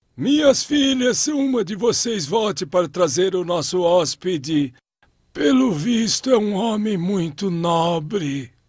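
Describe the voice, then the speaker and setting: A man's high-pitched cartoonish character voice, gentle in tone, fairly slow, with very wide pitch swings, against a quiet background. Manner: gentle, dignified.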